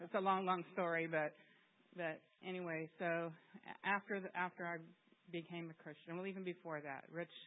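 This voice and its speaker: The speech moves at a moderate pace but has long, frequent pauses. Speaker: church member leaving for ministry. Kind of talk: testimony. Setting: church. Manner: animated.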